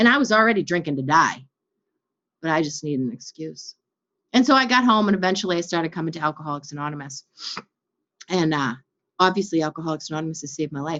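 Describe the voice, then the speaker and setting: A woman with an American accent and a very deep, low pitch, animated in tone, at a very fast pace broken by long, frequent pauses, with ordinary pitch variation and big swings in loudness. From US Northeast, Boston. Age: 50s. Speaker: recovery speaker. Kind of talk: testimony.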